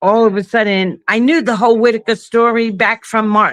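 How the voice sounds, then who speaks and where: A woman speaks at a fairly high pitch with a New York accent. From Brooklyn, New York. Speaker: caller on a live stream. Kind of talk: casual chat. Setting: video call.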